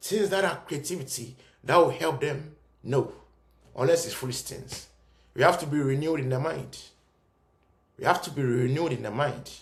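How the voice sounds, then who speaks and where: With audible room echo, a man speaks at a fairly high pitch and moderate pace in an animated tone with vocal fry, ordinary pitch variation, big swings in loudness, and long, frequent pauses. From Ghana (Cape Coast). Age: young. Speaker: commentator. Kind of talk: video monologue.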